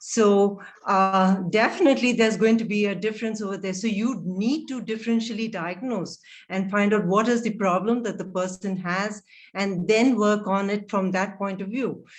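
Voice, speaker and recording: A woman with a medium pitch speaks at a moderate pace with fairly even intonation. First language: not English. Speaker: audiology professor, debate panelist. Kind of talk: panel debate Q&A.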